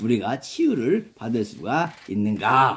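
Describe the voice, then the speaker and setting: A man is talking. The pitch rises and falls across a very wide range. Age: 70s. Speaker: pastor. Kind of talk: sermon.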